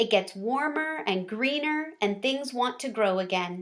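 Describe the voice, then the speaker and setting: A squeaky, put-on character voice talks at a moderate pace with lively intonation. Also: woman, fairly high pitch for a woman. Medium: read story. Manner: friendly, eager.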